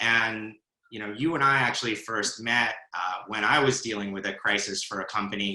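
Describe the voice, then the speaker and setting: At a moderate pace, a man speaks in a normal speaking voice, fairly low in pitch with fairly even intonation. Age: 40s. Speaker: conference interviewer. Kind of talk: fireside chat interview. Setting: live video stream.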